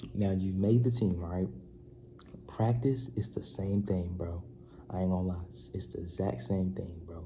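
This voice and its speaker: A man's very deep, low voice with lively intonation, a dark, mellow tone and a somewhat breathy quality at a fairly slow pace, with audible room echo. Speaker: youth basketball advice vlogger. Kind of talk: casual vlog advice. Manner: soft-spoken, quieter than usual; animated.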